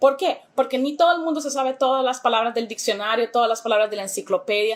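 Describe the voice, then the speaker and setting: Over noticeable background noise, a woman speaks in an animated tone at a high pitch. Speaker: English teacher. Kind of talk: educational talk to camera.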